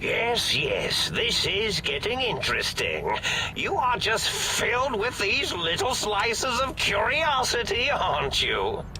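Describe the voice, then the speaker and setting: Someone performs a put-on character voice at a fairly slow pace. Loud background noise runs underneath. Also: man, extremely high pitch for a man. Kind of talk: retro sci-fi mad scientist. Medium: game stream. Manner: rambling, absent-minded, giggly.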